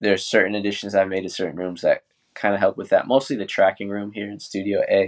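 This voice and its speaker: At a very fast pace, a man with a New England accent speaks at a fairly low pitch with fairly even intonation and big swings in loudness. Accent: American (New England). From New Hampshire, US. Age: 20s. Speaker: audio engineer. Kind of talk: casual interview chat.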